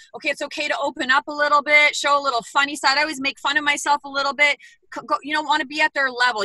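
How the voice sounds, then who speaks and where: A raised, projected voice in an animated, bright, sharp tone, with a dry, close sound and no echo. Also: woman. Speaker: bootcamp trainer. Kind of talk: panel discussion. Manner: fast.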